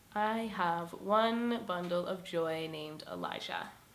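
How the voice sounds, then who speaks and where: Recorded with audible room echo, a woman speaks at a fairly low pitch with fairly even intonation. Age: 20s. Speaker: single mother sharing her story. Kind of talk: personal testimony. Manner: casual with many fillers.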